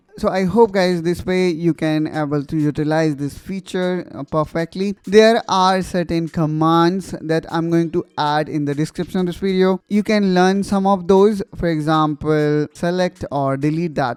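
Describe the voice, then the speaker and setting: Speaking with an Indian accent, a man with a high pitch and fairly even intonation keeps a moderate pace with hardly any pauses, in a very clean, dry, close recording with a silent background and no echo. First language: Hindi. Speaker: tech tutorial youtuber. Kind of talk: tutorial.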